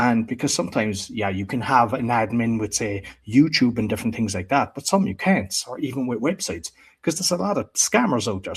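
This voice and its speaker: A somewhat breathy man with an Irish accent at a fairly quick pace. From Ireland. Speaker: podcast producer and entrepreneur. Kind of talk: interview conversation.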